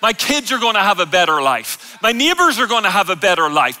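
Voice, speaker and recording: A man speaks at a fairly quick pace in a raised, projected voice. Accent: Irish. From Ireland. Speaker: preacher. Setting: church stage, live audience. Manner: loud, energetic, jokey. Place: church.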